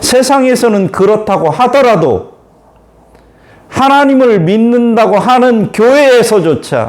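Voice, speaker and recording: Extremely high pitch from a man at a very slow pace, ordinary pitch variation, noticeable background noise. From Korea, Chungcheong-Jeolla border. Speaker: pastor. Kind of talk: sermon.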